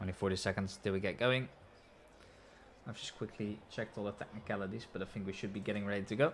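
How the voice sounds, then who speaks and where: With a Dutch accent, a man talks at a very fast pace broken by long, frequent pauses, his fairly low pitch held in fairly even intonation. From Netherlands. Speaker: sim racing commentator. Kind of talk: live commentary. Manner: soft-spoken.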